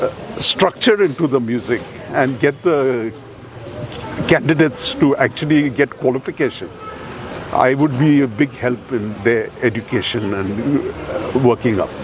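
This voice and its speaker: Noticeable background noise fills the recording. Through it, a man speaks at a fairly slow pace. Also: medium pitch for a man, ordinary pitch variation. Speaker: music examiner. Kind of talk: casual chat; speech at a ceremony.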